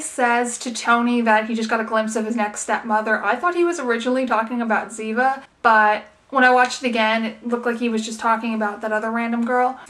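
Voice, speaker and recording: A woman with a high pitch talks very fast while noticeable background noise sounds behind her. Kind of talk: TV episode review talk to camera. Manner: casual, chatty.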